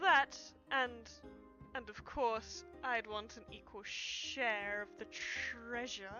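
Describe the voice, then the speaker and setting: Clear music plays behind a woman doing a put-on character voice. She talks very slowly at a fairly high pitch. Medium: game stream. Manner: flattering, smooth.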